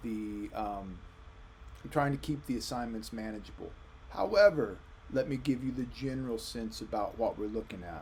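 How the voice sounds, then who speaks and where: The man's delivery is fairly slow. Room echo can be heard. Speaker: history professor. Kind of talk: recorded lecture. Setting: recorded video for online course. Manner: casual.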